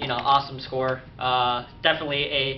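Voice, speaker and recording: Amid noticeable background noise and audible room echo, a man speaks at a medium pitch with monotone, flat intonation. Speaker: YouTube collector vlogger. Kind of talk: casual video update. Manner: fast; hesitant, many fillers.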